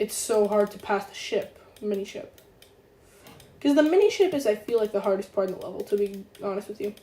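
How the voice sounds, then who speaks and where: Fairly quick and fairly high-pitched, a woman's voice carries a dark, mellow tone and ordinary pitch variation. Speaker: gaming streamer. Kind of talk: live gameplay stream commentary. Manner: quiet, talking softly; hesitant, filler-heavy.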